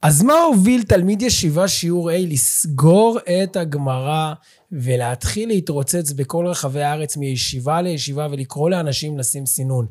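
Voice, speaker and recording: A man speaks at a fairly slow pace, with hardly any pauses. His fairly high voice carries lively intonation. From Israel, central region. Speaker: podcast host and lecturer. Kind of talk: interview. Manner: animated.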